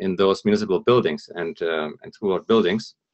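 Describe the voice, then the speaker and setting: A man with a German accent at a fairly quick pace, over a quiet background. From northern Germany, near Hamburg. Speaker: environmental consultant and speaker. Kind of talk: presentation. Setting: live broadcast talk. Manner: lively, humorous; hesitant, many fillers.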